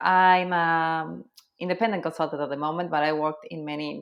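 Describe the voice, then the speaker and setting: A woman speaks with an Argentine accent. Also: very clean recording, silent background. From Argentina, Cordoba. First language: Spanish. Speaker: SEO consultant. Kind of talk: podcast interview.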